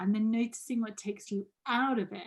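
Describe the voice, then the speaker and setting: A woman talks at a fairly high pitch and a fairly slow pace. Her voice is somewhat breathy, with a dark, mellow tone. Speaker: coach leading a group training session. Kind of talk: group video call session, guided reflection and chat.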